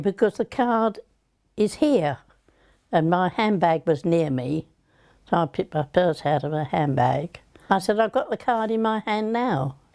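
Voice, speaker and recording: A woman's dark, mellow tone with very wide pitch swings at a fairly slow pace, on a very clean recording with a silent background. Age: 80s+. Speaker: fraud victim. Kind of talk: interview answer.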